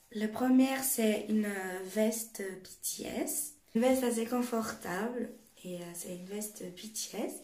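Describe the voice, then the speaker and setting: At a very slow pace, a woman speaks in a fairly high pitch with ordinary pitch variation and big swings in loudness, amid noticeable background noise and audible room echo. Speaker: YouTuber. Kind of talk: show-and-tell vlog.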